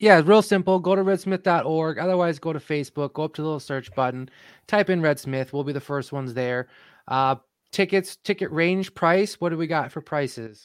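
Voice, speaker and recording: In a dry, close sound with no echo, a man with an American accent talks at a fairly quick pace. His pitch is fairly high with ordinary variation, on a very clean recording with a silent background. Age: 30s. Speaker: podcast co-host. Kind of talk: casual chat. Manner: animated.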